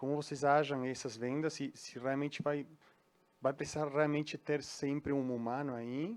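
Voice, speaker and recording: A man with a Uruguayan accent speaks at a moderate pace, his fairly high voice keeping a fairly even intonation. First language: Spanish (speaking Portuguese). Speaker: audience member asking a question. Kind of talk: audience Q&A question. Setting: event hall with audience. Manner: halting.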